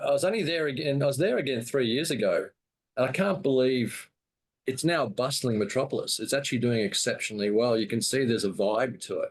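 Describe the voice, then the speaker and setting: A man with an Australian accent, medium in pitch, at a fairly quick pace with ordinary pitch variation. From Australia, Brisbane. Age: 60s. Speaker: cigar seller and show host. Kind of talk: casual interview chat.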